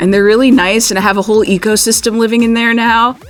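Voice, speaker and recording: A woman talks while music plays behind her. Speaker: voice actor. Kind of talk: interview answer. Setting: studio.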